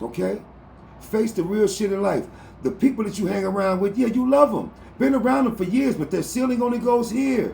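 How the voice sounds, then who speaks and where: A man shouting loudly at a high pitch, animated in tone and fairly quick in pace. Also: ordinary pitch variation. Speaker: livestream motivational talker. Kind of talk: livestream monologue. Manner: loud, yelling.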